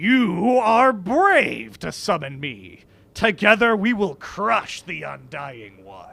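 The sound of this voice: It's a put-on character voice at a middle pitch. The pace is very slow.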